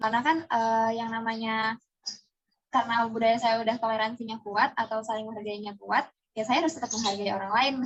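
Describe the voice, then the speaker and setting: A woman speaks at a fairly quick pace with fairly even intonation. Her voice is somewhat breathy. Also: fairly high pitch for a woman. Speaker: interviewee, student. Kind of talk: casual interview.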